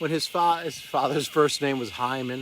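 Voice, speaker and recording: The man's voice sits at a fairly high pitch, with lively intonation. Noticeable background noise is present. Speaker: motivational vlogger. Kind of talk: reflective monologue vlog. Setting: outdoors at a river boat launch. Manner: slower than usual, deliberate; emotional, heartfelt.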